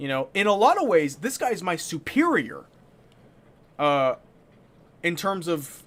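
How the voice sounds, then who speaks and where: Loud and animated, a man speaks in a high voice with very wide pitch swings. His pace is fairly slow, broken by long, frequent pauses. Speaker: gaming streamer. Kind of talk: live stream commentary. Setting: live stream.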